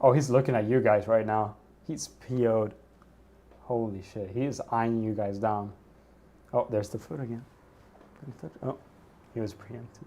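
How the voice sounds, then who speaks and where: A man with an American accent talks at a moderate pace and a medium pitch with fairly even intonation. He leaves long, frequent pauses, and his loudness swings widely. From Sweden. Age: 20s. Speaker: livestreamer. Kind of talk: casual chat. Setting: livestream.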